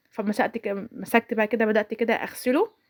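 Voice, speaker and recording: The woman's pitch sits fairly high. The sound is dry and close with no echo, on a very clean recording with a silent background. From Egypt, Sharqia governorate. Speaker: home vlogger, mother. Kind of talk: voiceover narration of a daily-routine vlog. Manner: casual, chatty, with frequent self-corrections.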